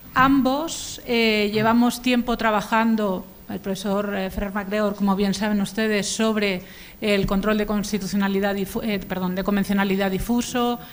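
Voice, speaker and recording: In a Spanish accent, a woman speaks at a moderate pace with monotone, flat intonation. Audible room echo is present. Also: medium pitch for a woman. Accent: Spanish (Spain). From Spain. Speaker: law professor. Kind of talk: conference lecture. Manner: formal, with frequent hesitations.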